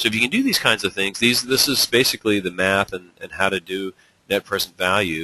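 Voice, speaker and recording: Bright and sharp in tone, a man talks at a fairly quick pace and a fairly low pitch with fairly even intonation, the sound dry and close with no echo. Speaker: webinar presenter, energy engineering association president. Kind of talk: lecture. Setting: online webinar. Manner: fast; many fillers and restarts.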